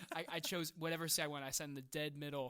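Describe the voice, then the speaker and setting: The voice is loud, with a bright, sharp tone and a very fast pace. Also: man. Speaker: film podcast co-host. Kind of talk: casual chat. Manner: animated.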